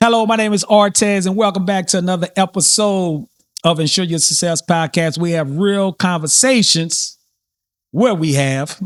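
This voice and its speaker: In a New Orleans accent, a man speaks with a high-pitched voice. The sound is dry and close with no echo, on a very clean recording with a silent background. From New Orleans, US South. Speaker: podcast host. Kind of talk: casual interview chat. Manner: unscripted, occasionally stumbling.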